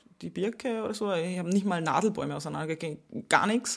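A woman with a plain, everyday voice speaks at a medium pitch and a moderate pace. The recording is very clean, and the background is silent. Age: 20s. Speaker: YouTuber and influencer. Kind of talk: casual interview. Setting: recorded at a retreat.

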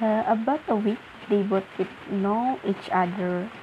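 A woman with an Indonesian accent speaks at a very slow pace in a fairly high voice with ordinary pitch variation, over noticeable background noise. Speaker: podcaster. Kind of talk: casual monologue. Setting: at home. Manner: halting.

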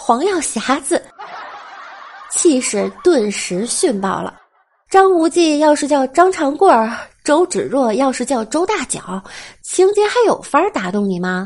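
The speaker moves at a fairly slow pace with long, frequent pauses and very wide pitch swings. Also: woman, high pitch for a woman. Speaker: podcast host. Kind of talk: comedic monologue. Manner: playful.

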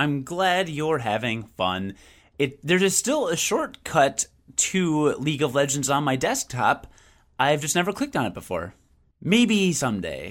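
A man talks at a fairly slow pace in a fairly high voice with vocal fry. His pitch swings very widely. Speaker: video game podcast host. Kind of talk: casual chat. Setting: video call. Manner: rambling, goes on tangents.

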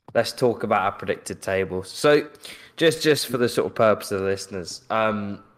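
A man with an unremarkable speaking voice has a fairly low pitch and ordinary pitch variation. He speaks at a moderate pace in a very clean recording with a silent background. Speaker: podcast host. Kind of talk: casual chat.

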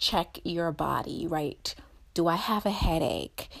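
In a Jamaican accent, a woman with a fairly low pitch and a warm tone speaks on a very clean recording with a silent background. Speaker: podcast host, therapist and PhD student. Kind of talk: guided mindfulness reflection; casual solo monologue. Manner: warm, encouraging.

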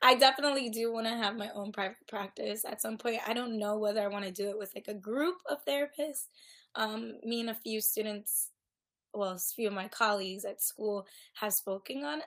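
A woman talks at a moderate pace with a fairly high pitch and ordinary pitch variation. It is a plain, everyday voice. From South Florida, Caribbean family. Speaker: therapy graduate student. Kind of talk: casual interview.

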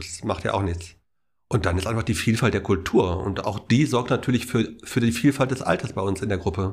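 Fairly low-pitched, somewhat breathy male voice on a very clean recording with a silent background. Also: ordinary pitch variation, moderate pace. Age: 60s. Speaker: charity volunteer coordinator. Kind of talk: interview.

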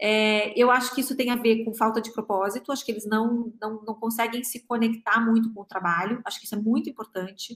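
A woman's plain, everyday voice, fairly high in pitch, at a fairly quick pace with fairly even intonation and big swings in loudness. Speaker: innovation executive, future-of-work researcher. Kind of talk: panel discussion.

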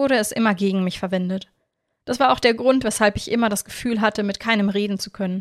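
Over a quiet background, a voice reads naturally.

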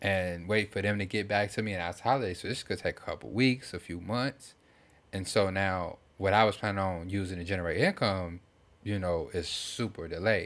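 At a moderate pace, a man speaks with fairly even intonation at a fairly low pitch. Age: 30s. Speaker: podcast host. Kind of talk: casual chat.

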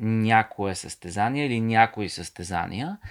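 On a very clean recording with a silent background, the speaker goes at a very slow pace with ordinary pitch variation. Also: man. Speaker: author and ultramarathon runner. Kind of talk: casual chat.

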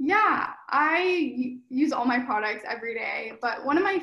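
A woman speaks with an American accent. Her pace is fairly slow. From Northern California. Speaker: eco influencer and small business owner. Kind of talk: interview.

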